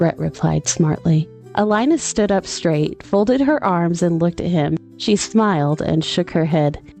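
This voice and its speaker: With music in the background, a woman speaks fairly slowly at very even loudness, hardly pausing at all. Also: fairly low pitch for a woman, lively intonation. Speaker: audiobook narrator. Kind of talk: audiobook narration.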